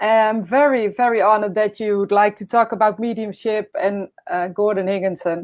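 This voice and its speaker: A woman speaks with a Dutch accent. Her intonation stays fairly even. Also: medium pitch for a woman, moderate pace, hardly any pauses. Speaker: podcast host. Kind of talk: casual interview. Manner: halting.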